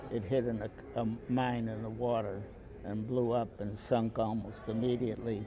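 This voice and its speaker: Audible room echo surrounds a man speaking at a medium pitch in a monotone, flat intonation. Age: 80s+. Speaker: war veteran. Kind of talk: talk to a school class. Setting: classroom. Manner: halting.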